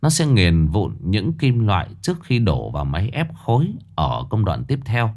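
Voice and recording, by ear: The words are read out loud in a natural-sounding voice.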